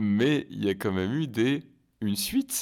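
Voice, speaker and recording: Normal pitch movement from a man, very cleanly recorded against a silent background. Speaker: film podcast host. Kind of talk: interview. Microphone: mic badly set, saturating heavily.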